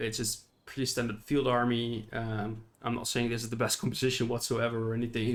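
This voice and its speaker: This is a man's voice at medium pitch. He talks at a fairly quick pace. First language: not English. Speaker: gaming YouTuber. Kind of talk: unscripted gameplay commentary. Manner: halting, with fillers.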